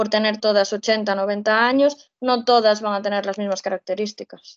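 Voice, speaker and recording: Fairly high for a woman, her pitch carries an unremarkable speaking voice with fairly even intonation. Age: 20s. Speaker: social educator. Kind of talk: casual interview.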